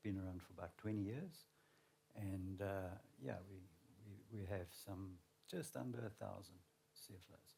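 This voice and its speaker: A man with a South African accent speaks at a moderate pace with long, frequent pauses, his fairly low voice somewhat breathy with a dark, mellow tone. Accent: South African, flat. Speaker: learning and development manager. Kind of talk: panel discussion.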